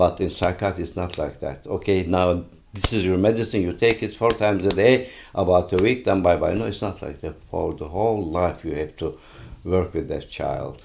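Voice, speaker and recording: His voice is very deep and low. The man keeps a moderate pace. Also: ordinary pitch variation. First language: Turkish. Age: 80s+. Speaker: retired pediatrician. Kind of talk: interview. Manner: halting.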